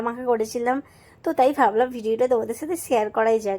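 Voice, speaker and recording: A woman's voice sits at a high pitch yet carries a dark, mellow tone. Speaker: lifestyle vlogger. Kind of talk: cooking vlog. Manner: casual, chatty.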